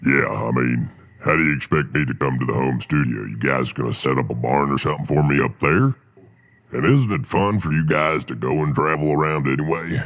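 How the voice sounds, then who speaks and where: Putting on a character voice, a man speaks at a fairly quick pace with a very deep, low pitch. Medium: audio drama. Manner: easygoing, folksy.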